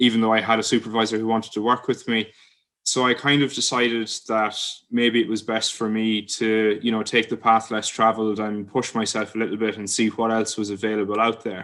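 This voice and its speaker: In an Irish accent, a man speaks at a fairly quick pace with monotone, flat intonation against a quiet background. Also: medium pitch for a man. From Ireland. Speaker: PhD student. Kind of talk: informal talk. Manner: frequent filler words (um, uh).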